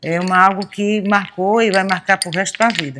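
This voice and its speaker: Speaking at a moderate pace, a woman has a medium pitch and an unremarkable speaking voice. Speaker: lace maker. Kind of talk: interview testimony.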